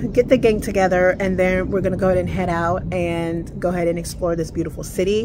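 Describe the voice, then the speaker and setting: Noticeable background noise sits behind a woman who talks fairly quickly. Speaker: travel vlogger. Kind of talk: casual vlog chat. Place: street. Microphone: phone near.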